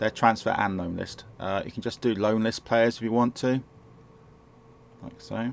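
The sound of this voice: A man talks at a moderate pace with ordinary pitch variation. His fairly low voice carries vocal fry.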